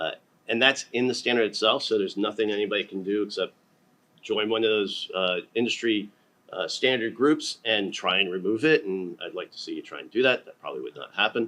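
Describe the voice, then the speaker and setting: Talking at a fairly quick pace, a man makes big swings in loudness. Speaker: panelist, data standards strategist. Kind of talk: conference panel presentation.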